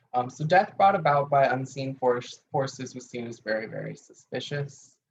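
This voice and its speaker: At a moderate pace, a man speaks in a plain, everyday voice at medium pitch with ordinary pitch variation. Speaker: teacher of occult herbalism. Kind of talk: lecture. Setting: video call class.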